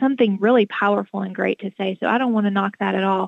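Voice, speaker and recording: Using a plain, everyday voice, a woman talks at a fairly quick pace with medium pitch and fairly even intonation. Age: 40s. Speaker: author. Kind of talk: interview.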